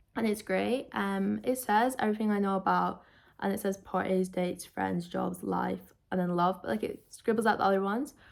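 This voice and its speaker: In a Scottish accent, a woman speaks at a moderate pace. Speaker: book youtuber. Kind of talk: casual book review vlog. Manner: casual, filler-heavy.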